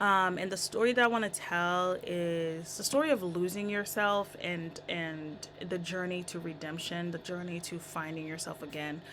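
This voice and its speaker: A woman talks at a moderate pace with a fairly low pitch. Her intonation stays fairly even. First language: not English. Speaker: songwriter vlogger. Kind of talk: casual tutorial vlog.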